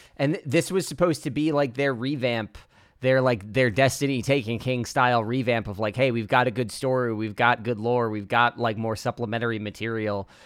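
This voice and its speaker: The tempo is fairly quick, with ordinary pitch variation. It is an unremarkable speaking voice. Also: man, medium pitch for a man. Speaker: podcast host. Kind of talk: casual chat.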